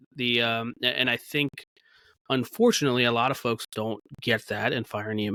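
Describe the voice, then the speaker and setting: A man's medium-pitched, bright and sharp voice at a moderate pace, with fairly even intonation and a dry, close sound with no echo. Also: very clean recording, silent background. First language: Gujarati dialect. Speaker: podcast host and paramedic. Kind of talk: casual discussion. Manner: halting, many fillers.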